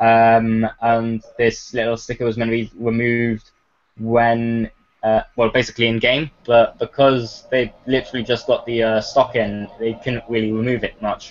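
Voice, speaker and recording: A voice with a British accent speaks at a moderate pace in a monotone, flat intonation. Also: man, medium pitch for a man. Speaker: gaming radio show host. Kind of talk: casual chat.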